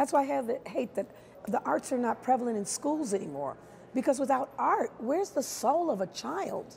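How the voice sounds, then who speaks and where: The speaker talks with an American accent. Light background noise can be heard. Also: woman. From Chicago. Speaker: stage actress, musical theatre performer. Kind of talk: interview answer. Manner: warm, expressive, lively. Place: hall.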